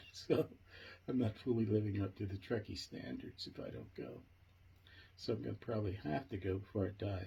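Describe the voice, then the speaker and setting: The voice carries a dark, mellow tone with vocal fry and moves at a moderate pace. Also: man. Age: 70s. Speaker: project founder and video host. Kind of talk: casual monologue. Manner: animated; halting, with fillers and repetitions.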